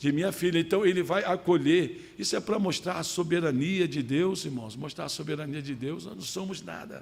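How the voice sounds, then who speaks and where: There is vocal fry in this voice, and it moves at a moderate pace. Pitch varies in the usual way, with hardly any pauses. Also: man, fairly high pitch for a man, big swings in loudness. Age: 60s. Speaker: pastor. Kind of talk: sermon. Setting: church service.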